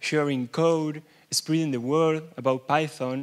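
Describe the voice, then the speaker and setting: This very clean recording has a silent background. A man with a fairly high pitch talks at a fairly slow pace with fairly even intonation. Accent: Argentine. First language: Spanish. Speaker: software developer and conference speaker. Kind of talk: keynote talk. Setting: stage with audience. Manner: halting.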